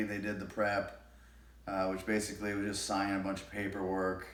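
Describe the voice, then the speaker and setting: A man mumbles. His voice sits fairly low in pitch. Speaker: shoulder surgery patient. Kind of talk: casual talk to camera. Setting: home, TV on in background. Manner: mumbling, hesitant.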